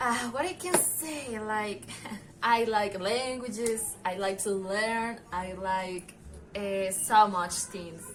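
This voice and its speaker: Amid noticeable background noise and audible room echo, a woman with a Colombian accent speaks at a very slow pace and a fairly high pitch with ordinary pitch variation. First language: Spanish. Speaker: university student. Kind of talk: casual vlog talk. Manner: halting, many fillers.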